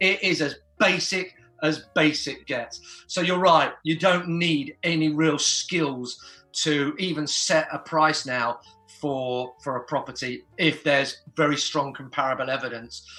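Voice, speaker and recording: Music plays in the background as a man with a fairly high pitch talks. He goes at a fairly slow pace with ordinary pitch variation. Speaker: property auctioneer. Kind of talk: casual guest interview answer, explanatory.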